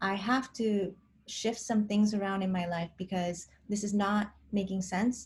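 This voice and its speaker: Somewhat breathy, a woman talks at a medium pitch and moderate pace with fairly even intonation. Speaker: personality-type vlogger. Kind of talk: casual vlog monologue.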